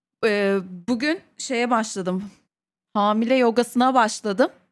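Speaking at a very slow pace, a woman uses a fairly high pitch and lively intonation. The recording is very clean, with a silent background. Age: 20s. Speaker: streamer's wife. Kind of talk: casual chat.

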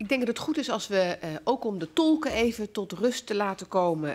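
Her pitch fairly high, a woman speaks at a moderate pace with very wide pitch swings. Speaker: parliamentary committee chair. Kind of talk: formal hearing. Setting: parliamentary hearing room. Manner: formal. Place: hall. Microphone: podium.

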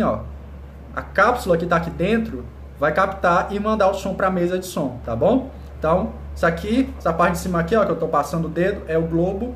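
A man talks at a fairly quick pace with audible room echo and light background noise. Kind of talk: tutorial. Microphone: phone near.

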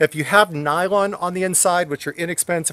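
A man speaks at a high pitch with ordinary pitch variation. His pace is moderate, and the sound is dry with no echo. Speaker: motorcycle rider reviewing gear. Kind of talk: tutorial. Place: open country. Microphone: phone near.

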